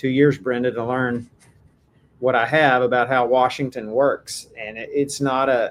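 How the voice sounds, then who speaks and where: A man with a Texan accent speaks at a moderate pace in a medium pitch, his intonation flat and monotone. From Texas. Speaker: AI policy advocate, former software executive. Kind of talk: podcast interview.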